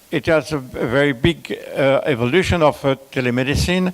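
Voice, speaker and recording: Fairly slow speech from a man with a fairly high pitch and ordinary pitch variation, over noticeable background noise. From France. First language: French. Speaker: conference speaker on telemedicine. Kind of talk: conference presentation. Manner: halting, many fillers.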